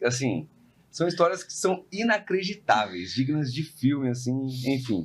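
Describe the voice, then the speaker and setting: In a São Paulo accent, a man talks at a medium pitch and a moderate pace. His pitch swings very widely. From São Paulo, Brazil. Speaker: podcast host, real estate investor. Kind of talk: casual podcast conversation.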